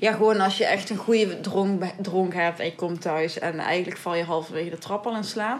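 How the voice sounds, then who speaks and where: With a southern Dutch accent, a woman talks fairly quickly with hardly any pauses. Her pitch is medium with ordinary variation, and noticeable background noise is present. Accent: southern Dutch, audible. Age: young. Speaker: podcast co-host. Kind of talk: casual chat.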